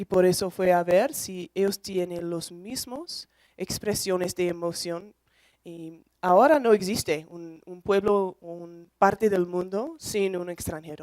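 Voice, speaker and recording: A woman with a non-native accent, at a medium pitch with ordinary pitch variation, a very slow pace and big swings in loudness. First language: English (speaking Spanish). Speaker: emotion researcher and lecturer. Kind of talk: lecture. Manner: halting.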